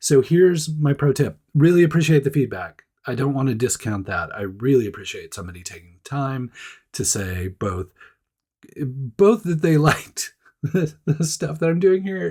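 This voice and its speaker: A man's somewhat breathy voice with a dark, mellow tone sits at a fairly high pitch, moving through very wide pitch swings and big swings in loudness. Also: moderate pace, very clean recording, silent background. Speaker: podcast and video host. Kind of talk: casual, conversational.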